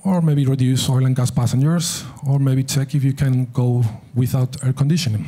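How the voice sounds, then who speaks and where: A fairly quick pace with a non-native accent. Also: man. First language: not English. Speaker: aviation safety speaker. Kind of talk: conference presentation.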